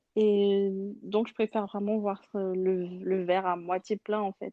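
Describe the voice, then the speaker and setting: A woman is speaking. Her pace is very slow. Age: 20s. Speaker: churchgoer guest. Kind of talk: testimony. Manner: halting.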